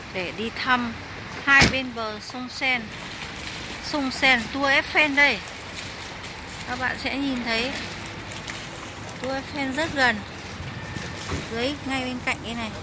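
Over loud background noise, a woman speaks at a very slow pace with long, frequent pauses, in a dry sound with no echo. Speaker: travel vlogger. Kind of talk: casual tour commentary. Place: waterside. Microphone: phone near.

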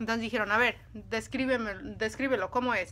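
A woman speaks in a bright, sharp tone at a fairly high pitch. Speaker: video creator telling stories. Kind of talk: casual storytelling monologue, dramatic narration in the 3:44 stretch. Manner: animated, suspenseful, dramatic pacing with asides to viewers; conversational, halting with fillers. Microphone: phone near.

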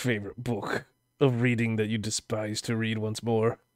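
The man has an unremarkable speaking voice, medium in pitch, at a moderate pace. The sound is dry and close, without echo. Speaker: interview show host. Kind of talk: casual interview chat. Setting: online voice call. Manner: playful.

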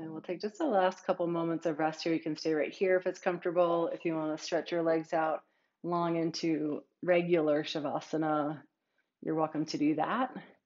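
A woman with an ordinary speaking voice talks at a fairly low pitch. Her pace is moderate, and the background is quiet. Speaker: yoga teacher. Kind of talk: guided yoga class, calm cueing. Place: home room.

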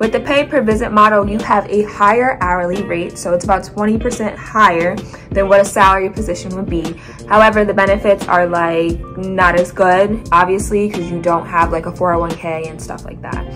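Clear music sounds in the background while a woman speaks at a fairly quick pace. Her pitch variation is ordinary. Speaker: occupational therapist vlogger. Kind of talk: casual vlog chat. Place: home room. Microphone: phone near.

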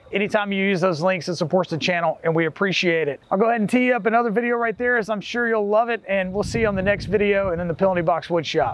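Very fast and with hardly any pauses, a man talks in a high voice with ordinary pitch variation. The sound is dry, with no echo. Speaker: woodworking channel host. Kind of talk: tutorial wrap-up. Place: garden.

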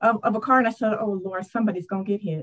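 A woman with a fairly high voice talks over a quiet background. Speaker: adult school director; interviewee. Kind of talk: testimony. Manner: animated. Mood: earnest personal storytelling. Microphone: earbuds.

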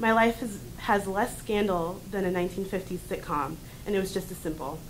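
There is light noise in the background. The speaker is a woman. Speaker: college student. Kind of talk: reading aloud. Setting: stage with audience. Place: classroom. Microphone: camera far.

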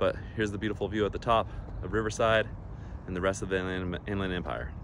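Over light background noise, a man speaks at a very fast pace with fairly low pitch and ordinary pitch variation, in a dry sound with no echo. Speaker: hiker vlogger. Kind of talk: casual vlog chat. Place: open country. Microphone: phone near.

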